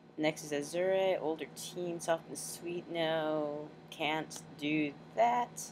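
The speech moves at a very slow pace with noticeable background noise behind it. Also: woman. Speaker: amateur voice actor recording auditions. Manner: casual, self-deprecating.

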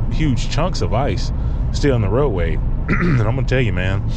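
A man speaks at a moderate pace. The sound is dry with no echo, but there is loud background noise. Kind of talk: casual vlog chat. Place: car. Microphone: phone near.

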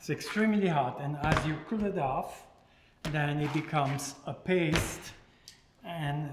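Against loud background noise, a man speaks at a very slow pace with ordinary pitch variation. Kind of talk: tutorial. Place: kitchen.

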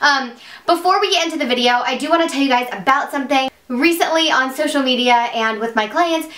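Over audible room echo, a woman speaks in a raised, projected voice at a fairly quick pace. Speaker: beauty vlogger. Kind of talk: casual vlog chat. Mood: excited, warm. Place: home room.

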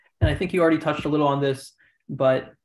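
The speech races along at a very fast pace, with audible room echo around it. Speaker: session host asking questions. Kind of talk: session hosting. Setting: video call. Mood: friendly, appreciative. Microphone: video call.

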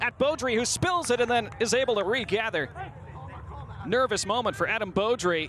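Noticeable background noise surrounds a man who speaks at a fairly quick pace with a high pitch. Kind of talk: live sports commentary. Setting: stadium commentary feed for a match broadcast. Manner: clipped, fluent narration of each touch.

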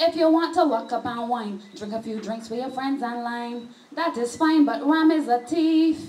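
This woman speaks in a high voice at a moderate pace with hardly any pauses and ordinary pitch variation. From Barbados. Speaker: slam poet. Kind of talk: live poetry slam performance. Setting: live venue with audience. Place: bar. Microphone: handheld.

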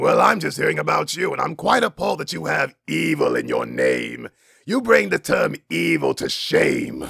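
This is a man doing a cartoonish character voice. It comes out raspy. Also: moderate pace. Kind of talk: cartoon voice impression. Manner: haughty, condescending, exasperated.

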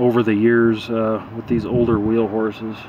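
At a fairly slow pace, a man speaks over light background noise. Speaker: tractor owner. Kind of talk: casual vlog chat. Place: street. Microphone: phone near.

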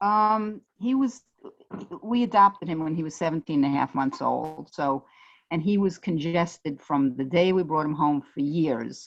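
In a Brooklyn accent, a woman with a very deep, low voice talks at a moderate pace with lively intonation. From New York, Brooklyn. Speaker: parent of a special-needs child. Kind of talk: casual chat. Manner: halting.

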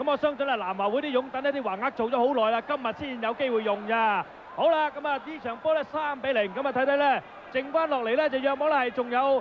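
A man's extremely high-pitched voice at a very fast pace, with ordinary pitch variation, amid noticeable background noise. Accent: Hong Kong. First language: Cantonese (speaking Vietnamese). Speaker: football commentator. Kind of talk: live commentary.

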